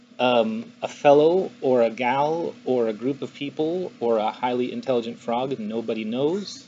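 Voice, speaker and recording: A man at medium pitch with ordinary variation and hardly any pauses, against noticeable background noise. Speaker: software engineer presenting a paper at a meetup. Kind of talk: technical talk to a live audience. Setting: stage with live audience, dark room. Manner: fast; loud, sometimes mumbling.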